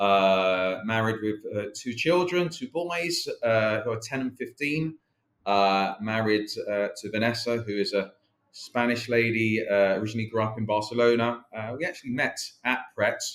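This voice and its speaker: Speaking in a South London accent, a man talks at medium pitch and a moderate pace with ordinary pitch variation. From South London, England. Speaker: company chief executive. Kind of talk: interview. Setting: podcast. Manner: halting, many fillers.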